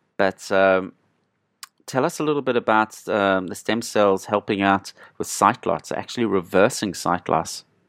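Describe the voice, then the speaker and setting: With an unremarkable speaking voice, a man talks at a moderate pace and a fairly low pitch in a dry, close sound with no echo. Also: ordinary pitch variation. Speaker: podcast co-host. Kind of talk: casual interview chat.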